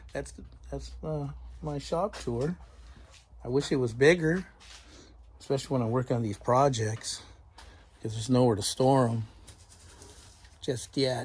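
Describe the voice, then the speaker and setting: A somewhat breathy man speaks at a fairly slow pace in a medium pitch. His intonation is lively. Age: 60s. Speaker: woodworker and firewood maker. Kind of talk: casual shop tour. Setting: home workshop.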